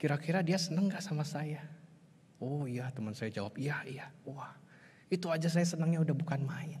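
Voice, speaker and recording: With a West Javanese accent, a man with a fairly high voice speaks at a moderate pace with ordinary pitch variation and audible room echo. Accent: Sundanese. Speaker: pastor. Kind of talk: sermon.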